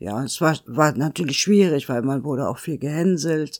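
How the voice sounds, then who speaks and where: A woman's very deep, low voice with vocal fry, in a very clean recording with a silent background. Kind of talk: interview.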